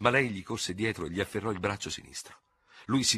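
The reading voice is unforced. Pitch shifts in an ordinary way.

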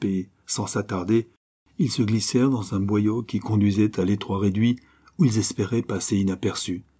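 A natural reading voice with fairly even intonation over a quiet background.

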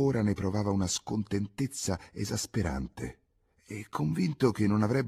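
Someone is doing plain reading aloud. That is the whole of it.

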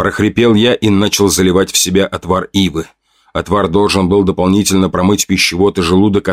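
The recording has a quiet background and a natural reading voice.

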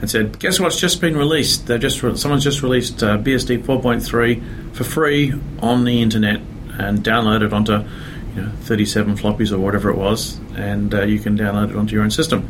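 A man with an Australian accent, fairly low pitch, ordinary pitch variation, very even loudness and a moderate pace, amid noticeable background noise and audible room echo. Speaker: software developer. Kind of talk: interview. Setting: conference. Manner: hesitant, many fillers.

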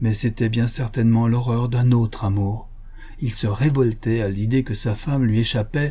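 The passage is read aloud in a natural voice.

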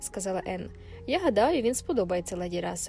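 The clip is plain reading aloud.

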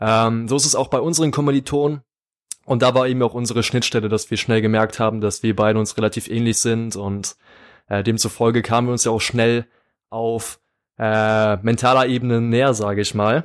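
An unremarkable speaking voice from a man at a fairly quick pace, with fairly even intonation, on a very clean recording with a silent background. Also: medium pitch for a man. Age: 20s. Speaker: podcast co-host, psychology student. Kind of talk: casual podcast chat.

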